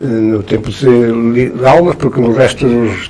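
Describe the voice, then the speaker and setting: Talking rather slowly, a man is heard over clearly audible background noise. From northern Portugal, Trás-os-Montes (Barroso). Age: 80s+. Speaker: veteran journalist and writer. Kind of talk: interview. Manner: halting, many repetitions.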